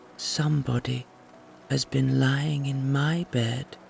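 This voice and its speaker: Clear background noise runs behind a man doing a put-on character voice. His pitch is medium and his pace fairly slow. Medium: read story.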